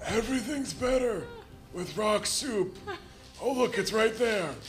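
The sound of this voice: A man puts on a character voice at a high pitch and a fairly slow pace. Clear music plays in the background.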